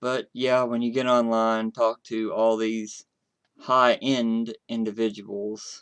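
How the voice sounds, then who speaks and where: A man speaks with an Appalachian accent in a monotone, flat intonation. His pace is very slow. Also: medium pitch for a man, dry, close sound with no echo. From West Virginia. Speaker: streamer. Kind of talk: casual chat. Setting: live stream.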